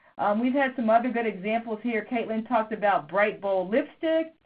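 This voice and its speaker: A woman with an ordinary speaking voice talks at a fairly high pitch and a moderate pace. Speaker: business school professor. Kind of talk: webinar lecture. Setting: phone conference.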